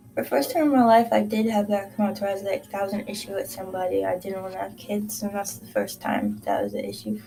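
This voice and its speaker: A woman talks at a very fast pace with hardly any pauses. Her loudness swings widely over noticeable background noise. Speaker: vlogger. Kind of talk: casual monologue to camera. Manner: halting, many fillers.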